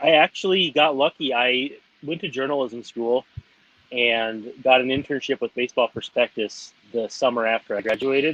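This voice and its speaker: A man with an American accent and an unremarkable speaking voice, at a medium pitch and a moderate pace, with ordinary pitch variation. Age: 30s. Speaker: baseball writer. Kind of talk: interview. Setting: at home with child nearby.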